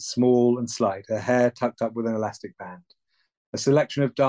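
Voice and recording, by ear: Reading aloud in a natural voice, with fairly even intonation against a quiet background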